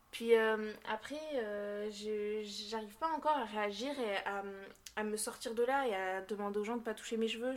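A woman talks with a fairly high pitch and fairly even intonation. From Basque Country, France. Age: young. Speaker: interviewee sharing experience of racism. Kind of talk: testimony. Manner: halting.

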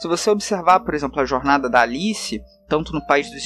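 Moderate-speed male speech with noticeable noise in the background. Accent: Carioca. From Brazil, Rio de Janeiro. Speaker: tabletop RPG game designer. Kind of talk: casual podcast interview.

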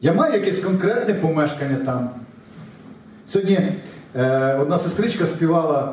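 At a fairly slow pace, the speech holds very even loudness and ordinary pitch variation, with noticeable background noise and audible room echo. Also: man, high pitch for a man. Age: 40s. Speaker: pastor. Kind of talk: sermon.

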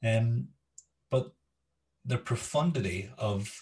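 Somewhat breathy and fairly low-pitched, a man speaks with a slight Scottish accent. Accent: Scottish-tinged. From Scotland. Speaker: education podcast host. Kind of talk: interview. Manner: hesitant with fillers.

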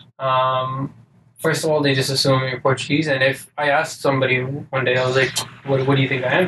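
A man's medium-pitched voice holds a monotone, flat intonation against noticeable background noise. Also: fairly quick pace. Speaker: podcast co-host. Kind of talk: casual banter.

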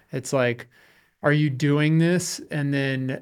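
Man with an unremarkable speaking voice, medium pitch and fairly even intonation. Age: 30s. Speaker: podcast host. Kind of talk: casual interview. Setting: studio.

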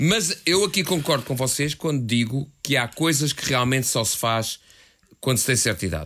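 A man speaks at a medium pitch with lively intonation. His pace is moderate. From Portugal, Lisbon area (Algés). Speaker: podcast co-host, novelist. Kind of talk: casual chat.

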